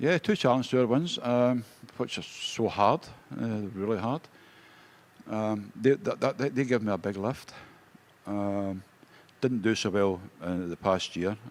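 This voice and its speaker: Speaking with a Scottish accent at a fairly slow pace, a man uses a medium pitch with ordinary variation and long, frequent pauses. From Scotland. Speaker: darts player. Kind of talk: interview. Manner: halting.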